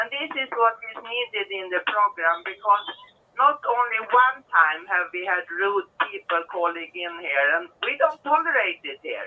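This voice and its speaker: At a fairly slow pace, a woman speaks at a fairly high pitch, with very wide pitch swings and big swings in loudness. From Sweden. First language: Swedish. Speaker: caller. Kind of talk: casual chat. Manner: halting.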